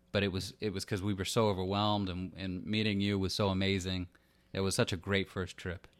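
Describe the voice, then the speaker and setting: A man with an American accent talks at a fairly quick pace. His fairly low voice stays monotone and flat. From Los Angeles (Hollywood). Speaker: podcast host, store owner. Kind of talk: podcast intro and interview. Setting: guest's home for interview; intros recorded separately. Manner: hesitant, many fillers.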